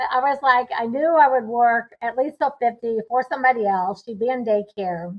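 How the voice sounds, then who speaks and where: A woman's high-pitched voice at a moderate pace, with hardly any pauses. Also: ordinary pitch variation. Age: 60s. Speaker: real estate investor. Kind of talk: interview.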